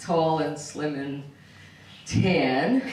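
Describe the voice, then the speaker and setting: Amid noticeable background noise and audible room echo, a woman talks with a New York accent. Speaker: comedian. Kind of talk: stand-up. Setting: stage with audience.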